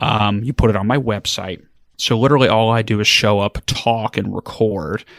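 A man speaks in a normal speaking voice at medium pitch and a moderate pace, with fairly even intonation, a dry, close sound with no echo, and a very clean recording over a silent background. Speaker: estate planning attorney with a podcast. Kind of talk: casual interview chat.

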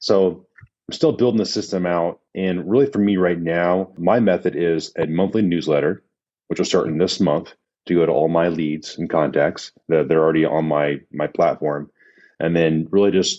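Very deep and low in pitch, a man talks at a moderate pace with ordinary pitch variation. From Indiana. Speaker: real estate investor. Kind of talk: casual chat.

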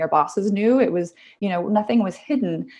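Speaking at a very fast pace with a Canadian accent, a woman has a fairly high pitch and a dark, mellow tone. Her intonation is lively, with vocal fry. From Vancouver, Canada. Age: 40s. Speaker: health coach. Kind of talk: interview.

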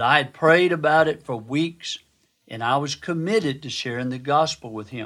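Here is an unremarkable speaking voice, a man at a moderate pace. His pitch varies in an ordinary way, and the recording is very clean with a silent background. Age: 60s. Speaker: physician and devotional speaker. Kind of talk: devotional Bible teaching.

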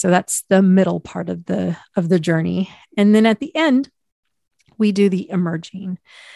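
Using an ordinary speaking voice, a woman with a medium pitch speaks at a fairly slow pace with ordinary pitch variation. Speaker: podcast host and hypnotherapist. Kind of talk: solo podcast monologue, educational.

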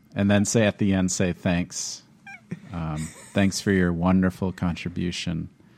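Noticeable background noise sits behind a man with an American accent. His very deep, low voice stays flat and monotone at a fairly slow pace. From Minnesota. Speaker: choral music educator and podcast co-host. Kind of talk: casual chat.

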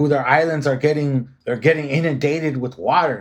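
Fairly quick and fairly high-pitched for a man, his delivery has fairly even intonation in an unremarkable speaking voice. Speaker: podcast host. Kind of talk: podcast interview.

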